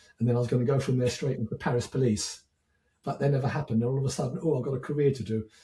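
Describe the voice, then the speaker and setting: Very fast and somewhat breathy, a man speaks at medium pitch with a dark, mellow tone. His intonation stays fairly even. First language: French. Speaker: educator, former teacher. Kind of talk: podcast interview.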